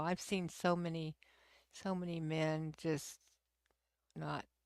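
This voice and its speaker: A woman with an American accent and a fairly low pitch, in a dry, close sound with no echo and a very clean recording with a silent background. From Texas. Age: 60s. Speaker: livestream host. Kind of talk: casual chat. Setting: live stream. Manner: halting.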